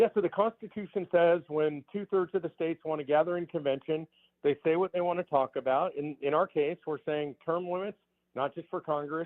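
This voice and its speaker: A man with a fairly high pitch talks at a fairly quick pace. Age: 60s. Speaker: political activist. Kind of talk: talk radio interview. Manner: animated.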